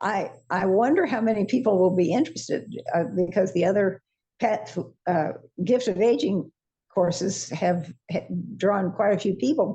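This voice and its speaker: At a moderate pace, a woman with a somewhat breathy, dark, mellow tone speaks at a medium pitch with ordinary pitch variation and very even loudness, leaving long, frequent pauses. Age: 80s+. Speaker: course teacher, senior faculty. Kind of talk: casual interview chat. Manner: halting.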